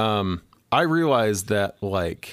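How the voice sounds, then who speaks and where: This is a man speaking at a fairly low pitch. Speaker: artist. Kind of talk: casual chat. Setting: video call. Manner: playful.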